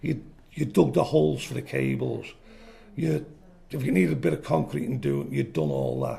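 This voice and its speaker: At a moderate pace, a man with a very deep, low pitch and a dark, mellow tone speaks with lively intonation, vocal fry and long, frequent pauses. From Liverpool, England. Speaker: retired electrician telling life story. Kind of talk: oral history interview. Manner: animated.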